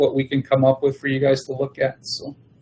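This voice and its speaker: Here a man is speaking. His pitch is fairly high. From Manitoba, Canada. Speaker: agricultural services manager. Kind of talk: council meeting report. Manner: hesitant, many fillers.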